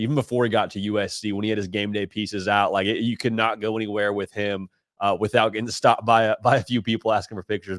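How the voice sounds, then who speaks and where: Very fast and animated, a man with a slight Nashville accent talks at a fairly low pitch, the sound dry and close with no echo. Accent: slight Nashville twang. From Southern California, Orange County. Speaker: college football analyst. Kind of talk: sports podcast interview.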